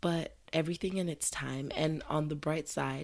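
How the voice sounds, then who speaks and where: With a very deep, low pitch and vocal fry, a woman talks in fairly even intonation. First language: not English. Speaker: podcast host. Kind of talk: casual podcast monologue. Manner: chatty, conversational.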